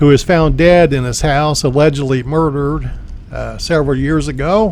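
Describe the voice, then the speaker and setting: Audible room echo and noticeable background noise surround a man's voice. He speaks at a moderate pace with a fairly high pitch and fairly even intonation. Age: 60s. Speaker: cemetery tour video host and insurance agent. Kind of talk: tour narration.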